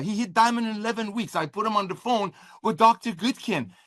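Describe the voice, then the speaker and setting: A man's high, bright, sharp voice, raised and projected, animated in tone at a moderate pace. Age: 60s. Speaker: network marketing company executive. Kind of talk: corporate livestream update. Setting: livestream.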